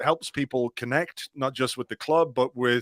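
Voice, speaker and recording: A man with an Irish accent speaks at a moderate pace with fairly even intonation, in a dry, close sound with no echo. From Ireland. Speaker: football blogger and podcaster. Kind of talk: casual chat.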